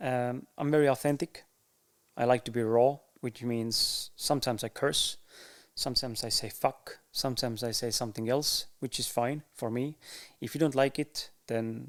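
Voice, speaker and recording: Moderate pace and fairly even intonation in an Estonian accent, on a very clean recording with a silent background. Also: man. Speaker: podcaster. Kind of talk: casual monologue to camera. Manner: halting, with fillers and pauses.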